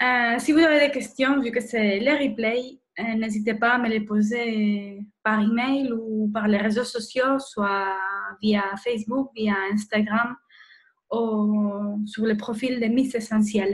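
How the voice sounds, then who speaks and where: A woman speaks at a very slow pace with a Spanish accent. Her voice is somewhat breathy, and her intonation stays fairly even. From Spain. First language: Spanish (speaking French). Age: 30s. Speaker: nurse and wellness blogger. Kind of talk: webinar presentation. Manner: hesitant, many fillers.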